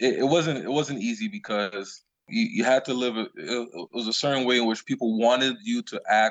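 The man has a normal speaking voice and an American accent at a medium pitch. He moves at a moderate pace with lively intonation. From Long Island, New York. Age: 30s. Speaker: youth pastor. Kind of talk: casual chat.

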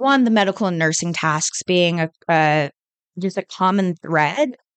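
A woman with an American accent speaks at a medium pitch and a fairly slow pace, the sound dry and close with no echo against a quiet background. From California. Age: 20s. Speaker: MBA student. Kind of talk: interview.

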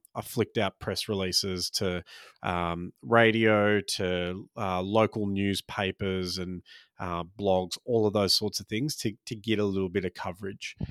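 In an Australian accent, the speaker goes at a moderate pace with fairly even intonation, in a very clean recording with a silent background and a dry, close sound with no echo. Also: man. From Australia, Maltese-Australian family. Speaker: stand-up comedian and podcast host. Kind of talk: casual solo podcast chat. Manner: relaxed, frequent ums and laughs.

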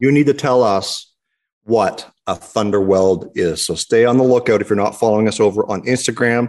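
Against a quiet background, a man speaks at a moderate pace in an ordinary speaking voice. His medium pitch shows ordinary pitch variation. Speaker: podcast host. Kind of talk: casual banter about cars.

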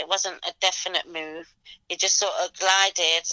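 Dry and close with no echo, a woman's bright, sharp voice sits at medium pitch, moving at a moderate pace with monotone, flat intonation. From England, Leicester. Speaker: event promoter. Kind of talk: interview.

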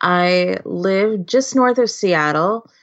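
With a Californian accent, a woman speaks very slowly in a fairly low pitch. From Southern California, Los Angeles. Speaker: scrapbooking artist. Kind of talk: casual interview.

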